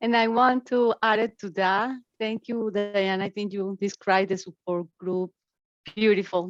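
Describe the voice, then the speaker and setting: Music plays in the background as a woman with a Spanish accent speaks at a fairly slow pace and medium pitch, her intonation fairly even and the sound dry and close with no echo. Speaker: family support partner. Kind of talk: panel discussion on webinar.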